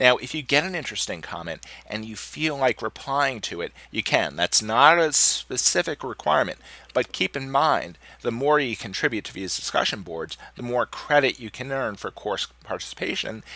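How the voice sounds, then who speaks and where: A man with a medium pitch speaks at a moderate pace in a bright, sharp tone with vocal fry and lively intonation, his loudness swinging widely. The sound is dry and close with no echo, on a very clean recording with a silent background. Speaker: philosophy instructor. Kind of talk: tutorial. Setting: recorded course video.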